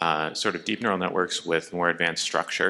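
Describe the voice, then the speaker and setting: This man has a very deep, low pitch and a bright, sharp tone. The recording is very clean, with a silent background. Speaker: audience member, computer science researcher. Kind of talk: audience question. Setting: conference audience.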